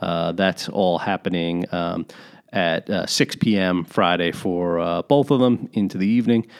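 A man with a very deep, low pitch talks very slowly, his pitch varying in an ordinary way. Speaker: podcast host. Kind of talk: casual chat.

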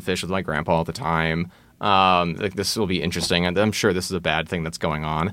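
A man's very deep, low voice with a bright, sharp tone on a very clean recording over a silent background. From Texas, Austin. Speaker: faux expert guest. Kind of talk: casual chat.

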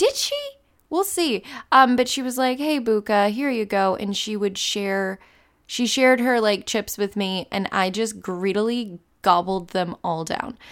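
In a very clean recording with a silent background, a woman speaks at a fairly slow pace with a fairly high pitch. She has an unremarkable speaking voice, and her pitch varies in an ordinary way. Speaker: podcast host. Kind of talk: podcast intro and outro monologue.

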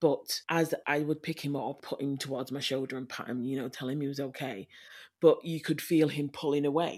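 A woman with a very deep, low pitch talks in a monotone, flat intonation, captured in a very clean recording with a silent background. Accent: Yorkshire. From Leeds, northern England. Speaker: adoptive mother. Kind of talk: interview.

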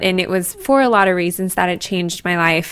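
In a normal speaking voice, the delivery keeps a fairly even intonation. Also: woman. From Colorado, US. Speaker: podcast host, yoga teacher. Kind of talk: solo podcast monologue.

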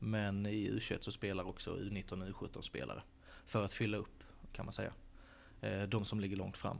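A man's fairly low, fry-tinged voice at a moderate pace, with fairly even intonation, long and frequent pauses, and audible room echo. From Sölvesborg, Blekinge, Sweden. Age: 20s. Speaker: football academy director. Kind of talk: interview. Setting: stadium stands.

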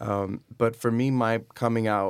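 A man speaks at a fairly low pitch with an American accent. The recording is very clean, with a silent background. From Miami, Florida. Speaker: actor. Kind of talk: casual chat.

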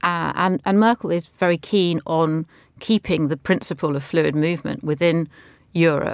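A woman with a southern English accent speaks at a fairly low pitch and a moderate pace, with ordinary pitch variation. The sound is dry and close with no echo, on a very clean recording with a silent background. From London, England. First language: not English (another language spoken at home). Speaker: editor and commentator. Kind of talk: current affairs panel discussion. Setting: studio.

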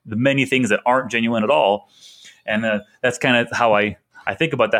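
Ordinary pitch variation and a fairly quick pace in a normal speaking voice. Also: man. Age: 30s. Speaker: podcast host and e-commerce operator. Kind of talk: casual interview chat.

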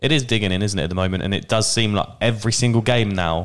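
The speaker has an English accent and talks at a very fast pace. The recording is very clean, with a silent background. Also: man. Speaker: football podcast host. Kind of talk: casual chat.

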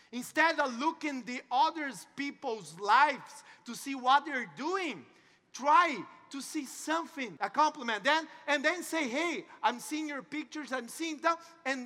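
In a Portuguese accent, a man speaks at a fairly slow pace with an extremely high pitch, ordinary pitch variation, and a raised, projected voice that is bright and sharp in tone. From Brazil. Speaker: network marketing entrepreneur, motivational speaker. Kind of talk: motivational talk. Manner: halting.

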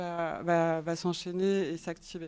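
This woman's voice sits fairly low in pitch, with monotone, flat intonation. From French Alps. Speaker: artist and designer. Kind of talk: artist talk.

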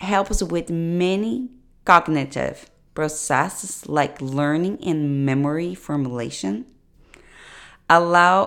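In a non-native accent, a woman speaks very slowly in a very deep, low pitch with ordinary pitch variation, on a very clean recording with a silent background. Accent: foreign. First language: not English. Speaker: nutrition coach. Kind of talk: solo podcast monologue. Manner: hesitant, many fillers.

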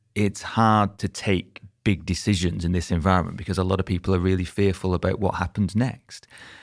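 Recorded very cleanly against a silent background, a man with a Lancashire accent speaks at a fairly low pitch. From Lancashire, northern England (former mining town). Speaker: real estate investment executive. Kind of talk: podcast interview.

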